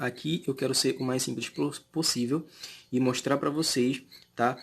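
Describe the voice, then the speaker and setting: Medium pitch from a man, with fairly even intonation. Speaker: math teacher. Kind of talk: lecture. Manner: fast; hesitant, many fillers.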